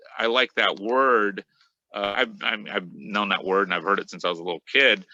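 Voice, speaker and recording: In a Spanish accent, a man with a fairly low voice and a bright, sharp tone speaks with ordinary pitch variation, the sound dry and close with no echo. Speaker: metal guitarist. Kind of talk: interview. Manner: halting, many fillers. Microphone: connection cutting out.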